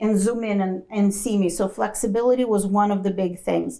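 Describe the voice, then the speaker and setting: A woman's dark, mellow, fairly high-pitched voice in a non-native accent, with fairly even intonation at a moderate pace. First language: not English. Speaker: accounting educator, former corporate finance professional. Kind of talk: panel Q&A talk.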